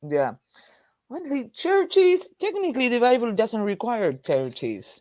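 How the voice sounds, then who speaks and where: A woman with an Argentine accent, fairly high in pitch, fairly slow, with very wide pitch swings. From Argentina. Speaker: political activist. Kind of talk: casual chat.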